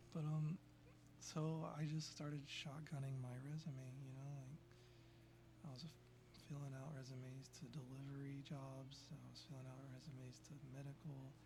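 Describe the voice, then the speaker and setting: A soft-spoken, somewhat breathy delivery with a dark, mellow tone, monotone, flat intonation and a moderate pace. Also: man, medium pitch for a man. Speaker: former software developer. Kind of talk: casual talk to camera.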